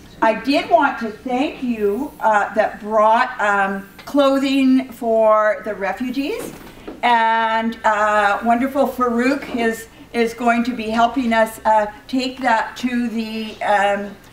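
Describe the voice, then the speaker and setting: Audible room echo and noticeable background noise surround a voice moving at a very slow pace with fairly even intonation. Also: woman, fairly high pitch for a woman. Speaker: women's rights organization co-chair. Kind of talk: welcome speech. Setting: room with audience, no microphone. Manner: loud; halting.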